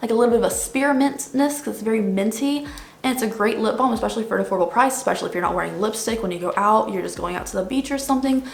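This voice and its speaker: Very fast and fairly high-pitched, a woman talks with ordinary pitch variation. Audible room echo and noticeable background noise surround her voice. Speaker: beauty youtuber. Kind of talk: casual product review.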